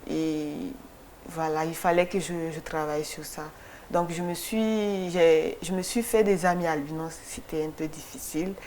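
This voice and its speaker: With audible room echo, the speech moves at a fairly slow pace with long, frequent pauses and fairly even intonation. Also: woman, fairly low pitch for a woman. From Mali (Kati, near Bamako). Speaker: photographer. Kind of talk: TV interview. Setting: TV studio. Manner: halting, many repetitions.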